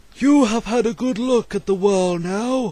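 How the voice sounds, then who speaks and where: Put-on character voice from a man, pitched high, moderate pace. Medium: read story.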